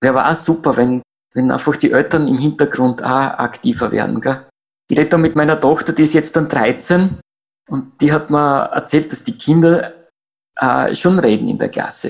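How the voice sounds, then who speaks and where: Talking at a moderate pace, a man uses a fairly high voice with ordinary pitch variation. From Austria, Graz. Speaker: climate activist. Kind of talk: interview. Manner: halting.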